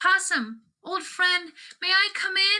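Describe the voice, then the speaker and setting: A squeaky put-on character voice moves along at a fairly slow pace. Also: woman, extremely high pitch for a woman. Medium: read story. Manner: polite, hopeful.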